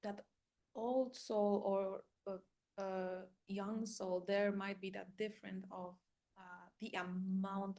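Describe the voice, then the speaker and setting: A woman with a Polish accent speaks very slowly in a dark, mellow tone with fairly even intonation. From Poland. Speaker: life coach and spiritual guide. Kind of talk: casual monologue. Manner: halting with fillers.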